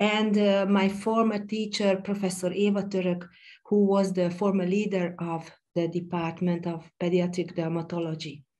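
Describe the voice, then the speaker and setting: A woman with a Hungarian accent speaks at a moderate pace and a medium pitch, her dark, mellow voice flat and monotone, with audible room echo. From Hungary. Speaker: pediatric dermatologist. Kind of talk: conference lecture. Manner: halting, with many fillers.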